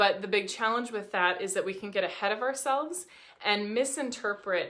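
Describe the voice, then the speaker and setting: A woman's medium-pitched voice, bright and sharp in tone, at a fairly quick pace with ordinary pitch variation. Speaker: dating coach. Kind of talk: vlog advice talk. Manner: fast; animated.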